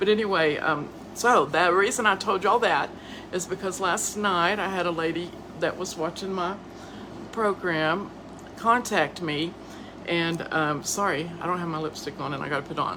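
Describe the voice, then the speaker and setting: A Southern US accent at a moderate pace, with ordinary pitch variation, over noticeable background noise. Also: woman, fairly low pitch for a woman. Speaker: podcast host and author. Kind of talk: casual live-stream monologue. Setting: live video stream. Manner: stuttering, halting.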